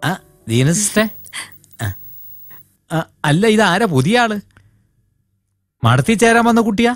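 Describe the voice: A put-on character voice moves slowly with big pitch swings. Faint music sits in the background. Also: man, high pitch for a man.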